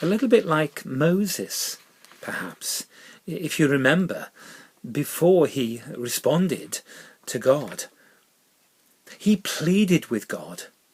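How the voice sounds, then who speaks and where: Lively intonation marks this man's high-pitched voice. He goes at a very slow pace with long, frequent pauses. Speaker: minister. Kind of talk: spoken reflection. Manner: reflective, measured.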